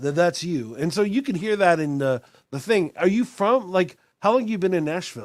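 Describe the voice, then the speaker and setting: A man talks at a moderate pace in a high pitch. His pitch swings very widely. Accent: American. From Texas, Austin. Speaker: podcast host. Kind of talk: casual chat.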